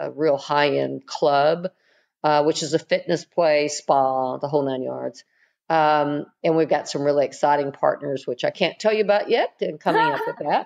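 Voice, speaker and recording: Here a woman talks at a moderate pace. Behind her, things are quiet. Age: 60s. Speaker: online magazine founder. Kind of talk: interview answer.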